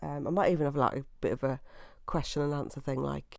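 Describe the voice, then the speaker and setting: Her voice has a dark, mellow tone, captured in a very clean recording with a silent background. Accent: East Midlands. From England, Leicester. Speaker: podcast host. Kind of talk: casual monologue. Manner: hesitant, many fillers.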